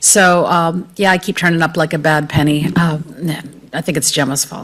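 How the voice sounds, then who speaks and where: A woman with an American accent, fairly low in pitch, at a moderate pace with fairly even intonation. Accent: non-Irish, American. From United States. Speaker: professor, panel speaker. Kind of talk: panel talk.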